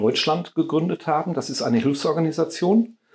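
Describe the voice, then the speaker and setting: A man speaks with a dark, mellow tone. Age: 50s. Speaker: caretaker at a meditation house, charity founder. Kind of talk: casual interview.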